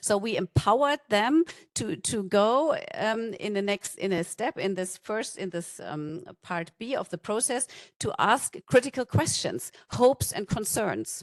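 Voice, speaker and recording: Lively intonation comes through in a German accent at a fairly slow pace. The sound is dry and close, with no echo. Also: woman, fairly high pitch for a woman. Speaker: conference speaker from a non-profit. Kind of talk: conference talk. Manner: halting.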